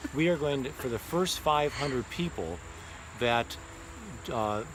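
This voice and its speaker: Lively intonation marks a man's moderately paced speech. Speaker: art instructor. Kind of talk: sales pitch. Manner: halting.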